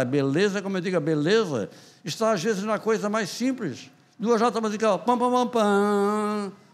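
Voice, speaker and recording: A man is talking. His voice is pitched high. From Santa Catarina, Brazil. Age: 80s+. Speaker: writer and poet. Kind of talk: interview answer.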